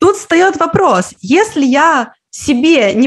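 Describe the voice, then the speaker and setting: A woman with very wide pitch swings. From Russia, Karelia (Petrozavodsk). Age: 30s. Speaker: Finnish language teacher, online school founder. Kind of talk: interview conversation.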